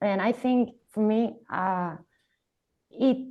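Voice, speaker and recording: A woman's dark, mellow voice at medium pitch, with a Spanish accent, ordinary pitch variation, and a quiet background. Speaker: filmmaker. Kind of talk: artist talk. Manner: halting.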